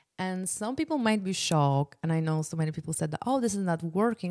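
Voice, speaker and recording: A woman speaks at a fairly quick pace with a Polish accent. Her medium-pitched voice shows ordinary pitch variation, in a dry, close sound with no echo. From Poland. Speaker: podcast host, business consultant and entrepreneur. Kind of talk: solo podcast presentation, casual and promotional. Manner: casual, conversational, uses many filler words.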